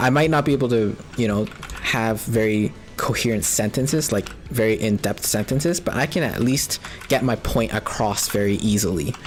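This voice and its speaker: The speaker has a Canadian accent and talks at a moderate pace. Noticeable background noise is present. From Canada. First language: Cantonese. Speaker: video game streamer. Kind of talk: casual chat. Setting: live stream. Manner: rambling, many fillers.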